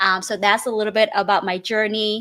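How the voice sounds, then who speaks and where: A voice with a Vietnamese accent on a very clean recording with a silent background. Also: woman. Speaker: real estate investor. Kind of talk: interview.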